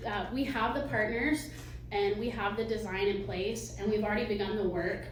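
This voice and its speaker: A woman's medium-pitched voice at a moderate pace, ordinary pitch variation, very even loudness, audible room echo and noticeable background noise. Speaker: museum director. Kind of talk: fundraising pitch presentation. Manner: hesitant, many fillers.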